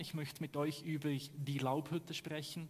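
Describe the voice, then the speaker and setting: Here is a man with a fairly high voice. It sounds somewhat breathy. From Switzerland. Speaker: pastor. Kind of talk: sermon.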